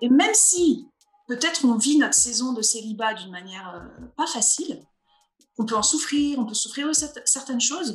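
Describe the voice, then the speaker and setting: A woman at a moderate pace, high-pitched, with very wide pitch swings and big swings in loudness. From northeastern France (Vosges, Alsace). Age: 40s. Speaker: pastor. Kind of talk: interview. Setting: video call.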